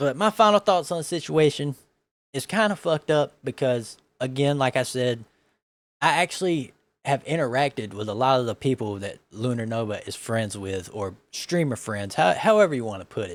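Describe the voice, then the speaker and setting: A man with a Southern US accent talks at a moderate pace in a medium pitch, his pitch swinging very widely. The recording is very clean and dry, close with no echo and a silent background. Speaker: vtuber reacting to videos. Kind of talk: casual commentary.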